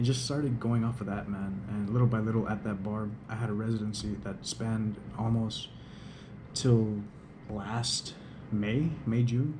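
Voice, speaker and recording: In a quiet recording with audible room echo, a man of medium pitch talks at a moderate pace with fairly even intonation and long, frequent pauses. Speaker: DJ and vlogger. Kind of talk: casual vlog monologue. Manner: quiet, hushed. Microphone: GoPro camera audio, may sound poor.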